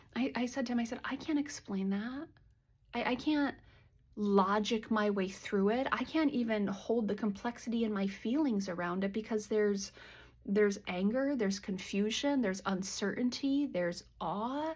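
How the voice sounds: At a fairly slow pace, a woman speaks at medium pitch with a slightly mellow tone and ordinary pitch variation.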